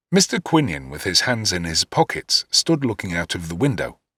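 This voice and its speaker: On a very clean recording with a silent background and a dry, close sound with no echo, a man speaks at a moderate pace in a bright, sharp tone with vocal fry and very wide pitch swings. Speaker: voice actor; first-person narrator. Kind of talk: audiobook dramatic reading.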